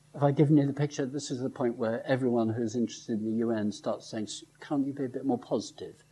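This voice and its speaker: His pitch varies in an ordinary way. The man has an English accent. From England, Lincoln. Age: 70s. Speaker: professor. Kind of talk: lecture. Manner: halting.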